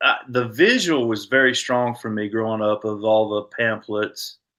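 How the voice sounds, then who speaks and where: A man's bright, sharp tone in a Southern US accent, with fairly even intonation over a quiet background. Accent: Southern US (Georgia). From US South, Georgia. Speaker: army veteran, paratrooper. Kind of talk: interview conversation. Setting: podcast.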